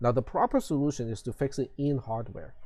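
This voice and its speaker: A man's dark, mellow, somewhat breathy voice at medium pitch, in a Cantonese accent. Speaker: college instructor. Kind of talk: lecture. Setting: online live stream class. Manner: hesitant, many fillers.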